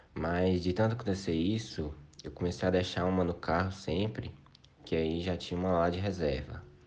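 A man speaks at a moderate pace with a very deep, low pitch and ordinary pitch variation. Room echo is audible. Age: 20s. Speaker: university student. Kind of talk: recorded testimony. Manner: casual.

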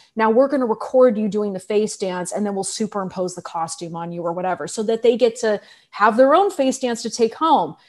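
Speaking with an American accent, a woman uses a plain, everyday voice at a fairly high pitch, moving at a fairly quick pace with hardly any pauses. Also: ordinary pitch variation. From California, San Francisco Bay Area. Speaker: film director and choreographer, dance professor. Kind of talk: interview.

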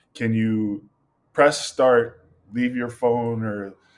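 This man talks at a medium pitch with an American accent. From Greater Boston, Massachusetts (Malden). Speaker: photographer and filmmaker. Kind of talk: casual interview chat.

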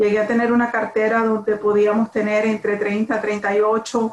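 A woman talks at a very slow pace. Her fairly high voice carries monotone, flat intonation. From Nicaragua, Managua. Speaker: real estate broker. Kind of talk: interview. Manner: halting.

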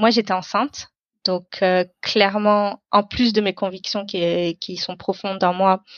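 A woman speaks at a very slow pace in a monotone with flat intonation. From Paris suburbs, France. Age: 30s. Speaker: climate activist and entrepreneur. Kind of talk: interview. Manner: hesitant, many fillers.

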